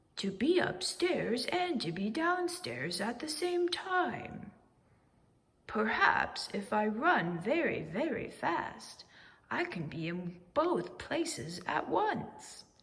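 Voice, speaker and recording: In a put-on character voice, a woman speaks very slowly at a fairly high pitch with very wide pitch swings. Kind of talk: bedtime story. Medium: read story.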